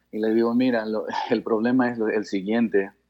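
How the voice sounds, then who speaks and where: Pitched fairly low, the man's voice moves along at a moderate pace. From Canada, born in Guayaquil, Ecuador. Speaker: father of a tennis player. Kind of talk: interview. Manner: halting.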